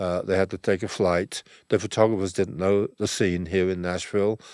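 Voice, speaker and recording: A man's very deep, low voice at a moderate pace, dry and close with no echo, on a very clean recording with a silent background. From England. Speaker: music photographer. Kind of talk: interview storytelling. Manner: halting, many repeats and fillers.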